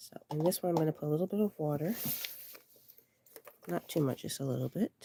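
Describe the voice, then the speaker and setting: This woman talks at a very fast pace in a very deep, low pitch with ordinary pitch variation. The sound is dry and close, with no echo. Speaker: online art instructor. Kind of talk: live tutorial. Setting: livestream.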